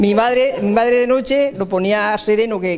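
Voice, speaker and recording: Noticeable background noise under a man's high voice, its pitch varying in an ordinary way. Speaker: elderly villager. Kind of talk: interview recollection.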